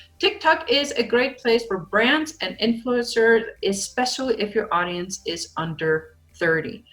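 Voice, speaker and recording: Over music in the background, a woman speaks at a fairly slow pace and a fairly high pitch, her voice making very wide pitch swings. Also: hardly any pauses. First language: not English. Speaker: social media marketing coach. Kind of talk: online training video.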